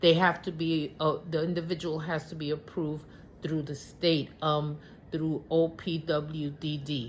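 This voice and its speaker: In a very deep, low voice, a woman speaks at a fairly slow pace, somewhat breathy, with monotone, flat intonation. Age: 60s. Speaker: caregiver. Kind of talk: personal vlog monologue. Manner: halting, stuttering.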